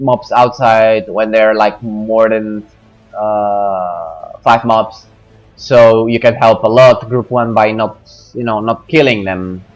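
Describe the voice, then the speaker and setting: With music in the background, a man at medium pitch speaks at a very slow pace. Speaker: gamer giving a game guide. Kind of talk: game tutorial commentary. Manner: hesitant, many fillers.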